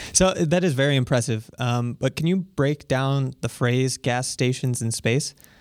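In a plain, everyday voice, a man speaks at medium pitch and a fairly slow pace with hardly any pauses. His pitch variation is ordinary, his loudness very even, and the recording very clean with a silent background. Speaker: podcast host. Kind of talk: interview.

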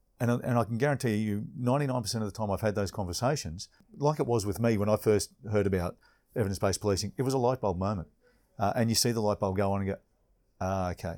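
A man's fairly low, dark and mellow voice with an Australian accent, at a very fast pace with ordinary pitch variation, on a very clean recording with a silent background. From Queensland, Australia. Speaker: police inspector. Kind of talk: interview conversation. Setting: hotel reception.

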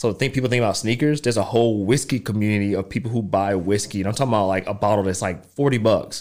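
A man's fairly low voice in a Southern US accent, very fast, with ordinary pitch variation, on a very clean recording with a silent background. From US South. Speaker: podcast guest. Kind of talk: casual chat. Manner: fast talker.

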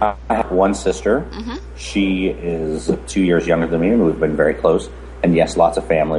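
A man with a very deep, low voice speaks at a moderate pace, his pitch varying in an ordinary way. Noticeable background noise runs under the recording. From US (born in Romania, moved at four). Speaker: casting director. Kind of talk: interview.

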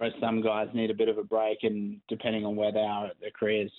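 This man has an Australian accent and a fairly low pitch. He talks at a fairly quick pace. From born in England, raised partly in New Zealand, now plays for Australia. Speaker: professional cricketer. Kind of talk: interview. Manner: hesitant, many fillers.

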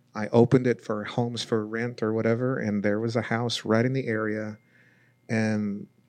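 Against a quiet background, a man speaks. His intonation is flat and monotone. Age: 40s. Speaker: paranormal investigator. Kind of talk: casual chat. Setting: studio.

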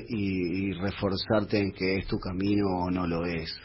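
Somewhat breathy, a man talks. He speaks at a very slow pace. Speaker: bass player. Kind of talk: radio interview.

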